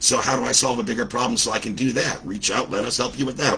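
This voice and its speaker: A man talks at a very fast pace in an animated tone, with ordinary pitch variation and noticeable background noise. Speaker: business coach. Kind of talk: livestream talk.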